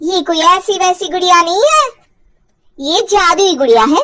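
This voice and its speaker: A woman uses a squeaky, cartoonish character voice at an extremely high pitch. She speaks at a fairly slow pace. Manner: sly, persuasive.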